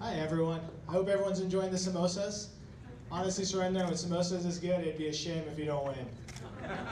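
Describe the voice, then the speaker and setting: The speech rushes at a very fast pace, its intonation fairly even, while noticeable noise sits in the background. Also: man, high pitch for a man. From India. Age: young. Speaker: school board trustee; speaker. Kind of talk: endorsement speech. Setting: hall with audience. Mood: light, joking. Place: hall.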